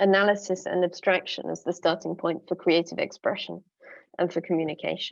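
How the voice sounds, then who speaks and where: A woman in a London accent, medium-pitched and monotone, with flat intonation against a quiet background. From London, England. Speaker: musician and curator. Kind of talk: conference presentation.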